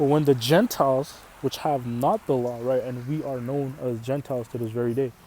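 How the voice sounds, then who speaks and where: With an Arabic accent, a man speaks at a moderate pace in a medium pitch, his tone dark and mellow and his pitch variation ordinary. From Canada. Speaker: religious teacher. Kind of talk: sermon. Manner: casual, repetitive with fillers.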